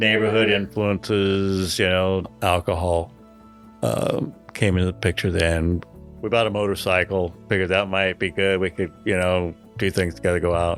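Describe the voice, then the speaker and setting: Over music in the background, a man speaks at a moderate pace in a very deep, low pitch, with fairly even intonation and very even loudness. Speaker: church member recounting addiction. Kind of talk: interview answer.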